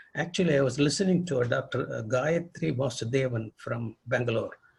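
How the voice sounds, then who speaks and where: A man speaks in a fairly high, somewhat breathy voice with ordinary pitch variation. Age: 80s+. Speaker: retired pediatric rheumatologist. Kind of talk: interview. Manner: halting.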